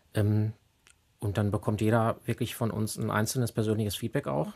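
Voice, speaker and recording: Fairly even in intonation, a man speaks at a fairly low pitch. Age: 40s. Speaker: apprenticeship and HR staff. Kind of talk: casual interview. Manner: hesitant fillers.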